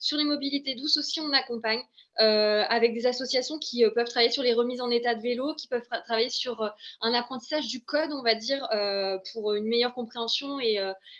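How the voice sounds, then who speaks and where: A woman talks in a high voice with fairly even intonation. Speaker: local government employment officer. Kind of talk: webinar presentation. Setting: online webinar. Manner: fast; hesitant, many fillers.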